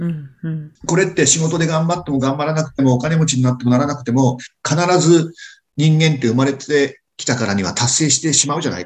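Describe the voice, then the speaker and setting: A man talks in a plain, everyday voice. His pitch is fairly high, with ordinary variation. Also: fairly quick pace. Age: 60s. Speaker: restaurant owner and lecturer. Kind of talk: casual chat.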